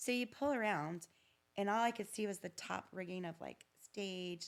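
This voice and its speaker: An American-accented woman speaks at a moderate pace in an animated tone, medium in pitch with ordinary pitch variation. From Virginia, small town. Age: 50s. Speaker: podcast guest. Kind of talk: casual chat.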